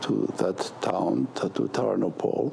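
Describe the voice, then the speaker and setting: Speaking very slowly, a man is heard amid noticeable background noise. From Poland. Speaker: Holocaust survivor. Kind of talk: interview. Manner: halting.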